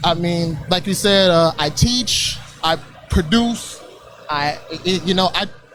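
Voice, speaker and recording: Over music in the background, a man with a high pitch speaks at a very slow pace with ordinary pitch variation. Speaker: rapper. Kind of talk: casual interview. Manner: halting.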